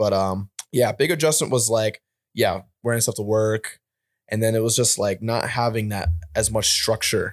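A man's medium-pitched, unremarkable speaking voice moves at a moderate tempo with ordinary pitch variation. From upstate New York, near Albany. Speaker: military veteran. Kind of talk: casual chat.

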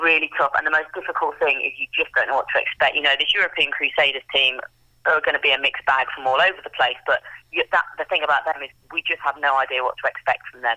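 A woman with an English accent speaks at a very fast pace. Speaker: amateur football team captain. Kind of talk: interview.

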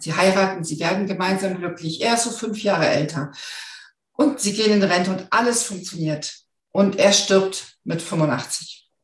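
Somewhat breathy and fairly low in pitch, a woman's voice carries the speech. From northern Germany. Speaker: finance expert and hypnosis coach. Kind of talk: interview.

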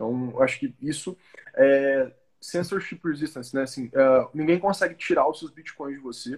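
Big swings in loudness run through a man's unremarkable speaking voice, fairly high in pitch with ordinary pitch variation, at a moderate pace. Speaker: crypto education company CEO. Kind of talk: casual chat.

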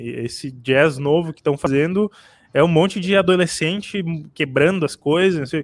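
At a moderate pace, a man speaks in a plain, everyday voice pitched fairly high. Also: ordinary pitch variation. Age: 20s. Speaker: podcast co-host. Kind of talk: casual chat.

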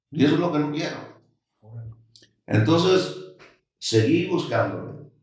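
Fairly slow, lively-toned speech from a man with a fairly high pitch, big swings in loudness, long, frequent pauses and audible room echo. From Sinaloa, Mexico (Los Mochis). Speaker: restaurant entrepreneur. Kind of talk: interview, casual chat. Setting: studio.

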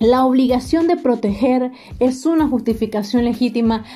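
Her voice is high-pitched for a woman, yet dark and mellow in tone. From Nicaragua. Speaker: student podcast host. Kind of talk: scripted explanatory talk.

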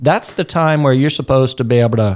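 Featuring an ordinary speaking voice, a man at fairly high pitch talks at a moderate pace with ordinary pitch variation. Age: 40s. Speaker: podcast host on human resources. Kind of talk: casual interview chat. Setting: studio.

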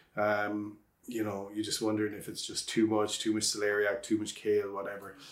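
A man with a western Irish accent talks at a fairly quick pace and fairly low pitch. His intonation is monotone and flat. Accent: Irish (west of Ireland). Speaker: organic vegetable farmer. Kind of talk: casual interview. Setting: outdoors on a farm.

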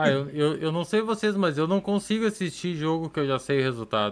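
A man's ordinary speaking voice, fairly high in pitch, with lively intonation at a moderate pace. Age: 30s. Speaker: podcast host and pastor. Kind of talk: casual podcast chat. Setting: live-streamed podcast studio.

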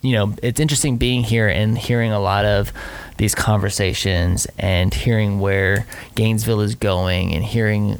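Here a man talks at a moderate pace. His pitch is fairly low, with ordinary pitch variation. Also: very even loudness. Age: 30s. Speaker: podcast host. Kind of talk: casual chat.

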